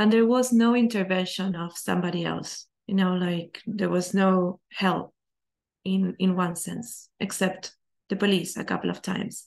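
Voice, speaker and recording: The woman has a non-native accent and medium pitch. Her intonation is fairly even. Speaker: transformational coach. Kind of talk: personal testimony talk. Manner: slow.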